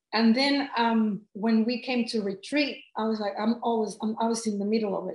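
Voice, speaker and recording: A woman with a Mexican accent and a somewhat breathy voice. Her pitch sits fairly high. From Mexico City. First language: Spanish. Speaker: life coach and author. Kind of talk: casual interview chat. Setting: video call.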